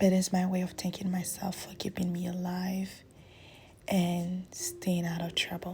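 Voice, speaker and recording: Somewhat breathy, a woman speaks at a fairly slow pace with a medium pitch and a dark, mellow tone. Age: 20s. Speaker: lifestyle vlogger. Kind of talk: voiceover narration. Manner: casual.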